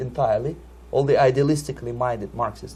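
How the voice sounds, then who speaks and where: The speaker is a man. He has a Russian accent. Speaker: Soviet defector, former KGB operative. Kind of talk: interview answer.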